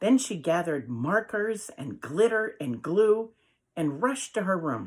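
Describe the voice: Against a quiet background, someone reads aloud plainly with lively intonation.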